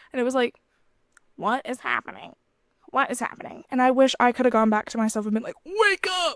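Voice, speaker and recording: A loud woman with a high pitch talks at a fairly quick pace with lively intonation, the sound dry and close with no echo. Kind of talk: casual devotional talk. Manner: energetic.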